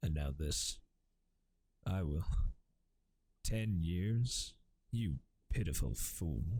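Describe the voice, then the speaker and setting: In a very deep, low voice with a dark, mellow tone, a man talks very slowly and a little breathily, his loudness very even, his pitch swinging very widely, and his long pauses coming often. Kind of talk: ASMR audiobook reading, softly spoken. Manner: soft-spoken, quiet, gentle.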